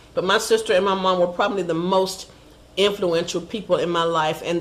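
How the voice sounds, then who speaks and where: Noticeable background noise and audible room echo fill the clip. A woman speaks with fairly even intonation. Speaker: entrepreneur and singer. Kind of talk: self-recorded video answers to interview questions. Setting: self-recorded video at home. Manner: hesitant, frequent fillers.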